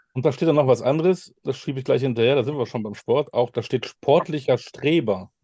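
A man's medium-pitched, dark, mellow voice with ordinary pitch variation and hardly any pauses, in a dry, close sound with no echo. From Münster, Westphalia, Germany. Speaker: podcast host. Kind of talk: interview.

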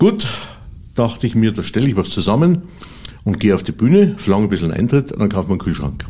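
Over noticeable background noise, a man talks very fast at a medium pitch, with very wide pitch swings and long, frequent pauses. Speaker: cabaret artist and literary performer. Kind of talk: interview. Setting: studio.

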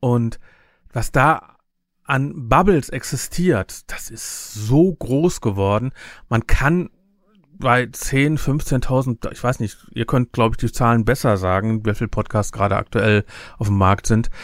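Here a man speaks at a very slow pace and a medium pitch. His intonation is lively. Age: 50s. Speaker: podcaster and event organizer. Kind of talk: casual interview. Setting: video call.

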